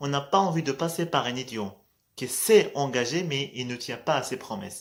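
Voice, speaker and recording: A man with a Moroccan accent at a fairly slow pace. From Morocco. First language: Moroccan Arabic (speaking French). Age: 20s. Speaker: vlogger. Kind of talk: casual motivational vlog. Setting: at night, in low light. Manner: hesitant, many fillers.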